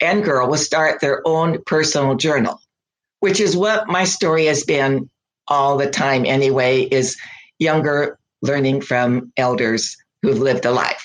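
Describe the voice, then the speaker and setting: Speaking at a fairly slow pace with an American accent, a woman uses a very deep, low pitch, ordinary pitch variation, and very even loudness. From US, small town. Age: 80s+. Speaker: weaver and fiber artist. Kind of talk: interview conversation. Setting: podcast interview. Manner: animated.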